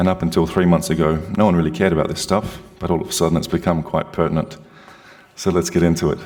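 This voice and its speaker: A man with an Australian accent talks at a very fast pace amid noticeable background noise. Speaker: security consultant. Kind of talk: presentation. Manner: loud.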